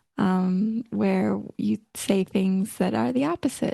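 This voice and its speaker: A woman speaks with an American accent over a quiet background. The sound is dry and close, with no echo. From United States. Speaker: podcast co-host. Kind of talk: casual chat.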